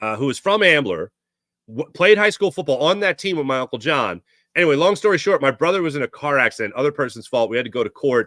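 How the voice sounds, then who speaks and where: Very fast and bright, sharp in tone, a man speaks at a fairly high pitch with very wide pitch swings, in a very clean, dry, close recording with a silent background and no echo. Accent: Philadelphia. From Philadelphia area, Pennsylvania. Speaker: sports podcast host. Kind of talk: casual chat.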